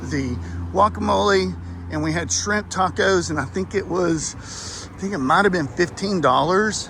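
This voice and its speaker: A man's voice swings very widely in pitch over noticeable background noise. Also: medium pitch for a man, moderate pace. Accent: Texas. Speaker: travel vlogger. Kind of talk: casual walkthrough review. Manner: hesitant, many fillers.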